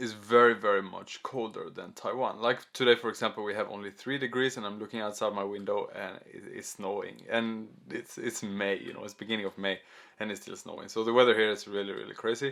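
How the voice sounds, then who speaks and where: A man with a Swedish accent speaks at a medium pitch and a fairly quick pace, with fairly even intonation but big swings in loudness. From Sweden. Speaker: YouTuber. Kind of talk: casual talking video. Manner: halting.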